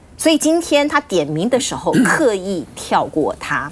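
A woman speaks in a Taiwanese accent with an animated tone. Her pitch swings very widely. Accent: Taiwanese Mandarin. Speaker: TV news talk show host. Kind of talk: TV political talk show. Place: studio.

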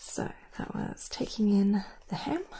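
The voice is a woman's. Everything she says is whispered. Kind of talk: roleplay talk to viewer. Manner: soft murmur while writing notes. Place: home room.

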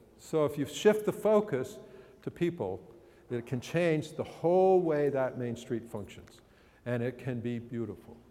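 At a fairly slow pace, a man with an American accent speaks in a dark, mellow tone, his fairly high pitch making very wide swings. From Massachusetts (Andover); Massachusetts. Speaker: urban planning speaker; speaker. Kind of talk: public lecture with slides. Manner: animated. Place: hall. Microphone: podium.

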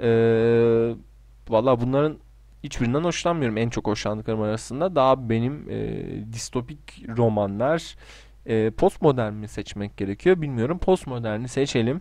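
A man speaks at a fairly slow pace in a medium pitch with a dark, mellow tone and ordinary pitch variation against a quiet background. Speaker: gaming YouTuber. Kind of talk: casual solo commentary doing online quizzes.

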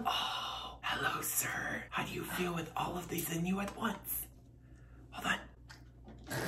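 A man speaks at a very slow pace in a playful tone. Noticeable background noise can be heard. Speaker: ASMR youtuber. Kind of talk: casual talk to camera. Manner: playful, chatty. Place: home room.

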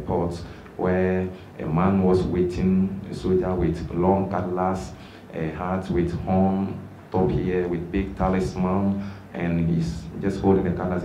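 A man's very deep, low voice, with audible room echo and light background noise. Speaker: witness. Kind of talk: testimony at a press briefing. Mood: grave, recounting abuse. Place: meeting room. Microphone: podium.

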